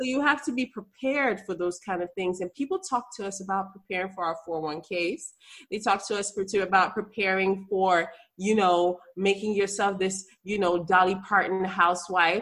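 The woman has an unremarkable speaking voice at medium pitch with ordinary pitch variation. She speaks at a moderate pace. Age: 30s. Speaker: obstetrician gynecologist. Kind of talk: interview conversation. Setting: video call.

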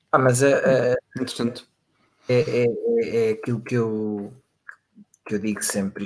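A man is talking here. His voice has a medium pitch. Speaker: podcast co-host. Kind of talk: casual chat.

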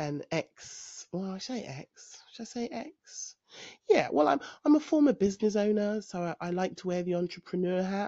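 A woman speaks in a London accent with a fairly low pitch and a dark, mellow tone. Her intonation is lively, and the background is quiet. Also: dry, close sound with no echo. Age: 40s. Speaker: podcaster. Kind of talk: personal monologue. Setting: home recording. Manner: hesitant, many fillers.

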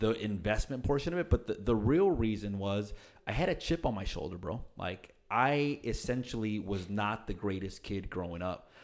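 On a very clean recording with a silent background, a man with an unremarkable speaking voice talks at a moderate pace, fairly low in pitch, with lively intonation. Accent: American. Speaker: real estate agent. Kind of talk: interview. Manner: casual.

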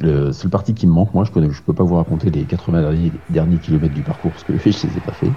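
A man with a very deep, low voice talks at a very fast pace with hardly any pauses and ordinary pitch variation. Noticeable background noise is present. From Paris region, France. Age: 40s. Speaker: amateur ultra-distance cyclist. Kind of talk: interview. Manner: hesitant with fillers.

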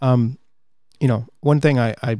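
With a dark, mellow tone, a man talks at a fairly slow pace in a medium pitch. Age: 30s. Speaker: podcast host. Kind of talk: casual monologue. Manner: halting.

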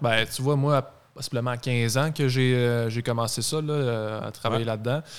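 In a very clean recording with a silent background, a man with an ordinary speaking voice and medium pitch talks at a fairly slow pace with fairly even intonation. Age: 20s. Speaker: car dealership sales director. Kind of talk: casual chat.

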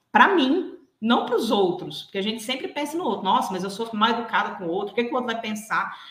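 Amid audible room echo, a woman speaks at a very fast pace with very wide pitch swings. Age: 30s. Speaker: executive and behavioral coach. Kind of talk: interview.

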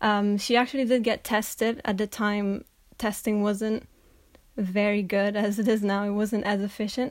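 In an Italian accent, a woman speaks at a medium pitch and a fairly slow pace in a flat monotone, on a very clean recording with a silent background. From northern Italy. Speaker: college student. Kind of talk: interview.

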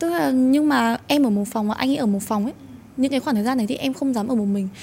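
Lively intonation runs through a woman's speech. She talks at a high pitch. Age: 20s. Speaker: TikTok content creator. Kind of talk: casual chat.

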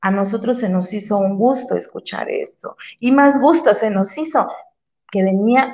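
With an ordinary speaking voice, a woman talks at a moderate pace and a fairly high pitch, her intonation lively. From Veracruz, Mexico. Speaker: community activist. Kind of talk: interview.

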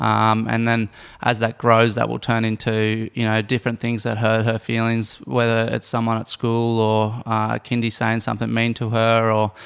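This man speaks at a moderate pace with an Australian accent and hardly any pauses. His medium-pitched voice stays monotone and flat. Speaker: professional Ironman athlete. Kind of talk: casual chat.

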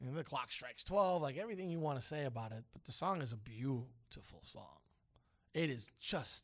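Speaking at a fairly quick pace, a man with a fairly high voice sounds animated, his intonation lively. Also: big swings in loudness. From New York, later Miami. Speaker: radio host. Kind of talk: casual morning radio chat. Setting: radio studio.

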